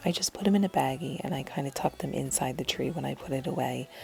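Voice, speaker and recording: Words come at a very fast pace over noticeable background noise. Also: woman. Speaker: lifestyle vlogger. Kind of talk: voiceover narration. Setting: at home. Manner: whispering.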